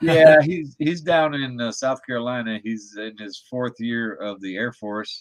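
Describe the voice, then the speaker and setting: In an ordinary speaking voice, a man talks fairly slowly with hardly any pauses, ordinary pitch variation and big swings in loudness. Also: medium pitch for a man. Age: 60s. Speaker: drone photographer. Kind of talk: casual chat.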